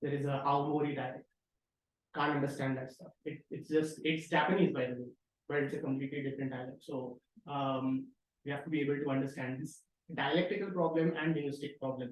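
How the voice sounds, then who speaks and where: A man with a Marathi accent, fairly high in pitch, fairly quick in pace and fairly even in intonation. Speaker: researcher presenting a tutorial. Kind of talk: tutorial.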